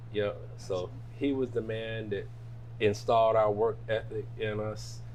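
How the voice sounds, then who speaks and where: A man speaks fairly slowly with an American accent. Room echo is audible. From Jackson, Michigan (US Midwest). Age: 60s. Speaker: restaurant owner. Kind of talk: casual interview.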